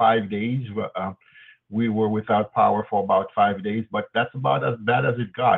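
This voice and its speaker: An unremarkable speaking voice from a man, fairly low in pitch, with ordinary pitch variation. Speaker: news review co-host. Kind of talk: news discussion.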